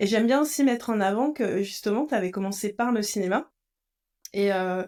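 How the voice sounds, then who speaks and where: In a very clean recording with a silent background, a woman with an ordinary speaking voice talks at a moderate pace, her pitch fairly high and her pitch variation ordinary. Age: 40s. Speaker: podcast host and coach. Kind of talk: podcast interview.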